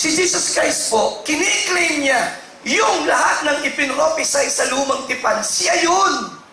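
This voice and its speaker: Over noticeable background noise and audible room echo, a man talks in an animated tone. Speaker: pastor. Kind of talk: sermon.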